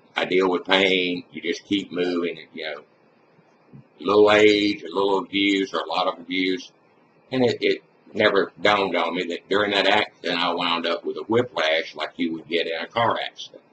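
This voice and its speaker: With an American accent, the speaker talks at a moderate pace with fairly even intonation over noticeable background noise. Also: man, very deep, low pitch for a man. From US South, Mississippi. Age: 60s. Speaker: retired construction worker. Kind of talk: personal testimony. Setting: webcam recording. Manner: casual.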